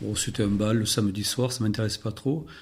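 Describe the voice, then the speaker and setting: Ordinary pitch variation runs through the speech while music plays in the background. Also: man. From Béarn, France. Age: 60s. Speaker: retired telecom worker. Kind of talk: podcast interview answer. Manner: hesitant, many fillers.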